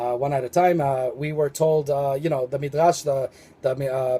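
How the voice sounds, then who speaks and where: Dry and close with no echo, a man's fairly high-pitched voice has a dark, mellow tone, a somewhat breathy quality, ordinary pitch variation and a fairly quick pace. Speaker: religious video commentator. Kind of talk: spiritual monologue video. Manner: fast; halting, many fillers.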